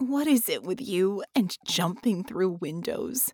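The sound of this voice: A put-on character voice, female-sounding and fairly high, comes out hoarse and croaky. It moves at a fairly slow pace.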